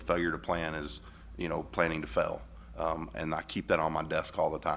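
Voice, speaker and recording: A man speaks loudly at a moderate pace in a very deep, low pitch. His tone is bright and sharp, with vocal fry. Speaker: school board member. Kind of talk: board meeting discussion. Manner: hesitant, many fillers.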